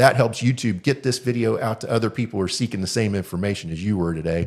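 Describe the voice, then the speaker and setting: Over a silent background in a very clean recording, a man talks at a very fast pace with ordinary pitch variation. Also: medium pitch for a man. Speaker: insurance agent. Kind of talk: informational video explainer.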